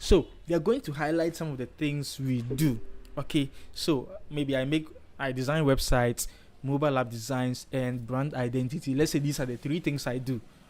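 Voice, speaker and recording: At a moderate pace, a man is speaking. His pitch is fairly high. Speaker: design tutor, live streamer. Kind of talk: live tutorial. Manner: animated; loud, emphatic.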